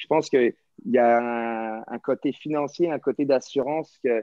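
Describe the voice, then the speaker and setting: An unremarkable speaking voice from a man, medium in pitch with fairly even intonation, in a dry sound with no echo against a quiet background. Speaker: professional hockey player. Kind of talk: casual chat. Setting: video call. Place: home room. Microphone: video call.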